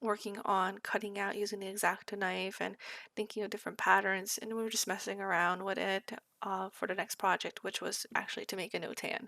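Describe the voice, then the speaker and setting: A woman speaks fairly quickly at a medium pitch in a bright, sharp tone with monotone, flat intonation. The recording is very clean, with a silent background. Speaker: art student. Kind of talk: sketchbook tour voice-over.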